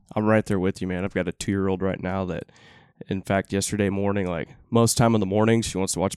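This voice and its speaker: Very fast and in a Texan accent, a man speaks with monotone, flat intonation, his sound dry and close with no echo. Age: 30s. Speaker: podcast host. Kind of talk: casual interview.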